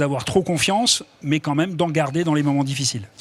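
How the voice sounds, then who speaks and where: A man with an unremarkable speaking voice talks at a fairly quick pace, his fairly high pitch showing ordinary variation. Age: 60s. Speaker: retired footballer, author. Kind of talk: TV interview. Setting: TV studio at an event.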